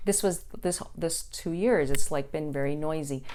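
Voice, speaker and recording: A woman speaks with lively intonation. The room echo is audible. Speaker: psychic tarot reader. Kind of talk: casual monologue tarot reading. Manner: fast.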